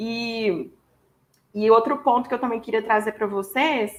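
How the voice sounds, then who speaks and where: With a Minas Gerais accent, a woman speaks at a fairly slow pace and a fairly high pitch. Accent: Minas Gerais (mineiro). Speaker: HR professional and psychologist. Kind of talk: webinar presentation. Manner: casual, filler-heavy.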